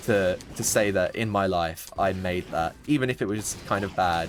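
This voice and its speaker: Music plays behind a man with a British accent whose very deep, low voice rises and falls in an ordinary way. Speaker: gaming YouTuber. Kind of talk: gameplay commentary, casual chat. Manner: rambling, casual with filler words.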